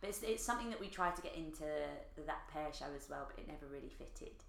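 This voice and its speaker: A woman with an Essex accent talks, with audible room echo around her voice. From Essex, England. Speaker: comedian and actor. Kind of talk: casual chat. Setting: in person at host's place.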